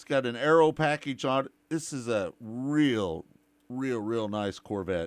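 In a plain, everyday voice, a man talks fairly slowly at a medium pitch, his intonation lively and his loudness swinging widely. The recording is very clean, with a silent background. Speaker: radio host. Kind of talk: casual sports radio chat.

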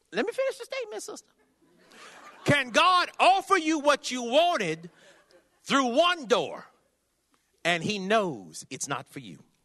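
With an American accent, a man uses a raised, projected voice that is extremely high in pitch with a bright, sharp tone, very wide pitch swings and big swings in loudness, moving at a fairly slow pace with long, frequent pauses. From California. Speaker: traveling preacher. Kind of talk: sermon. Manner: animated.

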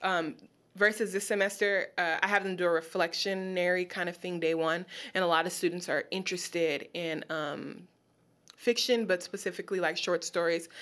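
A woman with an American accent has a normal speaking voice, a fairly low pitch and fairly even intonation. She talks at a moderate pace in a very clean recording with a silent background. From Los Angeles, US. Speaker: poet and creative writing teacher. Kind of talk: casual interview.

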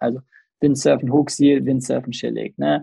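A man talks at a moderate pace in an ordinary speaking voice. His pitch sits in the medium range. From Bergisches Land, western Germany (Remscheid). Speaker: windsurf and kitesurf school operator. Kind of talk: casual chat.

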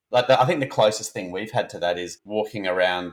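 This man speaks at a fairly quick pace, his fairly low pitch showing ordinary pitch variation. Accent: Australian. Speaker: podcast host. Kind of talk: casual chat.

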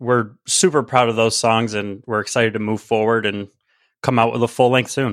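On a very clean recording with a silent background, a man with an American accent and an ordinary speaking voice talks at a moderate pace with fairly even intonation. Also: medium pitch for a man. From Central New York, near Syracuse. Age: 30s. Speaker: musician and guest co-host. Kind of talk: casual chat.

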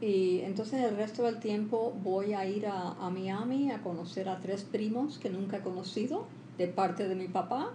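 A woman at medium pitch, fairly slow and with hardly any pauses, fairly even intonation, noticeable background noise and audible room echo. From Cuba, Havana; left at about 10 for the US. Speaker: interpreter and translator. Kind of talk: interview. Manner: halting.

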